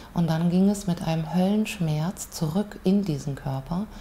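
A woman talks at a fairly low pitch in a dark, mellow, somewhat breathy tone with fairly even intonation. Her pace is moderate, and there is light background noise. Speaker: interviewee. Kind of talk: interview answer. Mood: calm, reflective storytelling. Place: home room.

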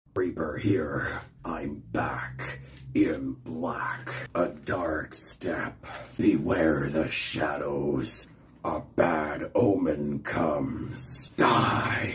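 A man does a put-on character voice, very deep and low, at a very slow pace. Light background noise sits behind him. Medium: voice reel. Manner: menacing, growled.

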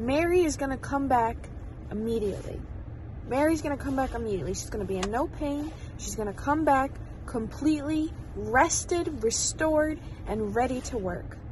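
A woman with a high pitch is heard against light background noise, the sound dry with no echo. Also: moderate pace. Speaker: vlogger. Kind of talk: casual vlog chat. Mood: self-encouraging, emotional pep talk. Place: car. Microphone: phone near.

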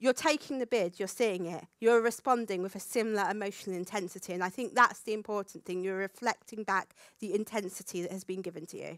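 A woman talks at a fairly quick pace with ordinary pitch variation. The sound is dry with no echo, over a quiet background. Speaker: conference speaker. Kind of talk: lecture talk. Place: stage. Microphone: headset.

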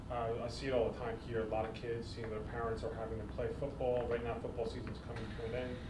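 A man talks at a very fast pace with hardly any pauses, over noticeable background noise. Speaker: podcast co-host. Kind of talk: casual chat. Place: gym.

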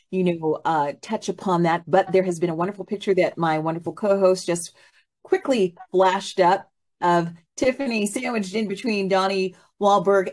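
Pitch variation from this woman is ordinary. She talks at a moderate pace. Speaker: talk show host. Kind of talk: interview show hosting. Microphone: video call.

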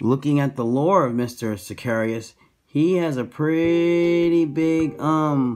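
A man speaks with ordinary pitch variation. Faint music plays in the background. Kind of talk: casual tutorial chat. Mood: relaxed, amused. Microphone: phone near.

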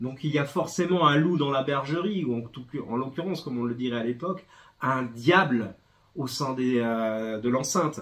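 Against a quiet background, a man's pitch varies in an ordinary way. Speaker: bookseller presenting a comic. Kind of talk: book review talk. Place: shop.

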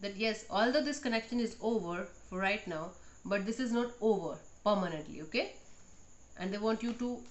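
With ordinary pitch variation, a woman's voice proceeds at a moderate pace. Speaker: tarot reader. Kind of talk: tarot reading monologue. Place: home room. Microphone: phone near.

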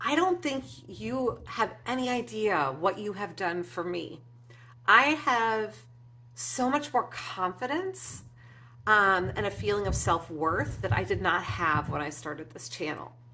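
Over light background noise, a woman with a bright, sharp tone, a fairly low pitch and vocal fry speaks at a fairly slow pace with very wide pitch swings. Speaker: craft YouTuber. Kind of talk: casual vlog update. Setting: home. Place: home room.

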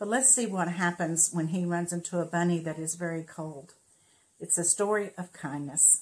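A woman speaks at a moderate pace in a fairly low, somewhat breathy voice with ordinary pitch variation. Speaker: storyteller. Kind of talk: children's book read-aloud. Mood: warm, gentle. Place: home room. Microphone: phone near.

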